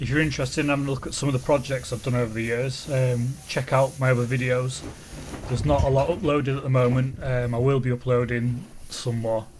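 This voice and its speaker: A man talks at a fairly quick pace and medium pitch, in a monotone, flat way. Noticeable background noise runs underneath. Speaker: car body repairer. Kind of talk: voiceover tutorial.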